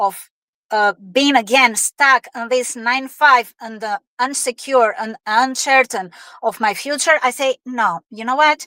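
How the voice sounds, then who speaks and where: A woman with an Albanian accent speaks very slowly in a raised, projected voice, high-pitched and bright and sharp, with a dry, close sound and no echo. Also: very clean recording, silent background. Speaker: online business owner with corporate job. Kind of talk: interview. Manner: halting, many fillers.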